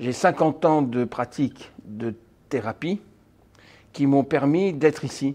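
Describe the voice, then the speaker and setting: A man with a dark, mellow tone and fairly high pitch speaks at a very slow pace with long, frequent pauses and ordinary pitch variation, on a very clean recording with a silent background. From France. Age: 60s. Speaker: therapist. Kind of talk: self-presentation to camera. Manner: halting, with frequent hesitations.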